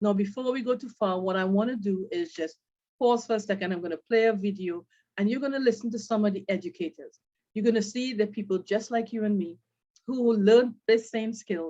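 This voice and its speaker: This woman has a normal speaking voice, pitched fairly high, with ordinary pitch variation. She talks at a fairly quick pace. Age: 50s. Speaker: brand ambassador presenting a trading course. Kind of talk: sales presentation.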